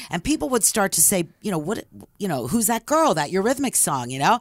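With an American accent, a woman speaks at medium pitch using very wide pitch swings. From Philadelphia area, Levittown, Pennsylvania. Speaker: former radio DJ and author. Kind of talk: casual interview, storytelling. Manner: animated.

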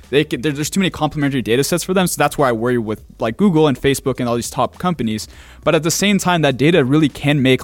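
This man talks at a very fast pace with hardly any pauses, in a fairly high pitch and with lively intonation. The recording is very clean, with a silent background. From Finland. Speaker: podcast host. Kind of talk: casual interview.

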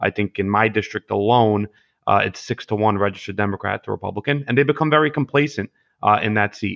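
A man talks very fast in a Brooklyn accent. His pitch is fairly low. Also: ordinary pitch variation. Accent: Brooklyn New York. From Brooklyn, New York (Gravesend/Bensonhurst). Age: 20s. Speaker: political candidate, construction worker. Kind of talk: podcast interview. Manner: hesitant, many fillers and repetitions.

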